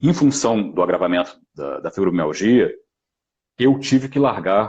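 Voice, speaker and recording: A man speaking at a moderate pace. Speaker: actor and voice actor. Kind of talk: live stream talk. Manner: halting.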